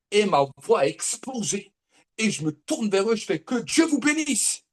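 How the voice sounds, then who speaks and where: Animated and high-pitched, a man talks at a fairly slow pace with very wide pitch swings. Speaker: prophet preacher. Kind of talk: sermon.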